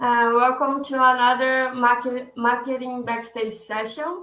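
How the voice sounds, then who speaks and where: In a Brazilian Portuguese accent, a woman speaks with a high pitch and a bright, sharp tone over audible room echo. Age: 20s. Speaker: digital marketing specialist. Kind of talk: webinar presentation. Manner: halting, with self-corrections.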